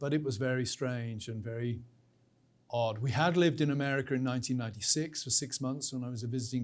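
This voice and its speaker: A man with a British accent talks very fast at a medium pitch, his intonation fairly even. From Britain. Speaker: professor. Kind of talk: interview.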